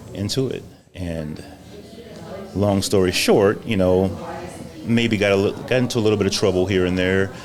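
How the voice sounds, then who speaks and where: With an American accent, a man speaks in a fairly low voice at a moderate pace with fairly even intonation and long, frequent pauses, amid noticeable background noise and audible room echo. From Louisiana, then southern California from age 13. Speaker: coffee shop business owner. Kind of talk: podcast interview, personal testimony. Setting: on-site at a coffee shop lounge. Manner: polite, relaxed.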